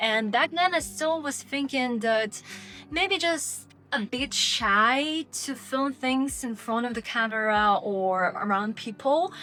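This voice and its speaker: With music in the background, the speaker talks at a very slow pace with lively intonation and a non-native accent. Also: woman, high pitch for a woman. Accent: foreign accent in English. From Lithuania, Polish-Russian mixed family. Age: 20s. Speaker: vlogger. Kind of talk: personal vlog monologue.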